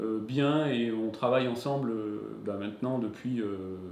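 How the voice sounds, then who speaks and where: A man is talking. Audible echo from the room surrounds his voice. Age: 40s. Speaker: company founder and CEO. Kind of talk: interview. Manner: hesitant, many fillers.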